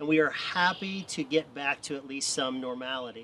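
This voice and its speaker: A normal speaking voice belongs to a man who moves along fairly quickly, his pitch varying in an ordinary way. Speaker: missions trip volunteer. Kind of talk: interview.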